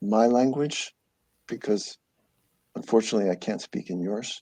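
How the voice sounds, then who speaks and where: Over a quiet background, a man with a dark, mellow tone speaks with lively intonation. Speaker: marine biology scientist giving a guest lecture. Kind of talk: Q&A after lecture. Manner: halting, many fillers and repetitions.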